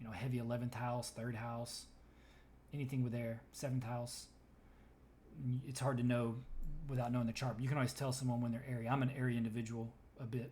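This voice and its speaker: Speaking very fast yet with long, frequent pauses, a man with a medium pitch uses a flat, monotone delivery and a dark, mellow, somewhat breathy tone, with audible room echo. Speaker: tarot reader. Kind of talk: tarot reading.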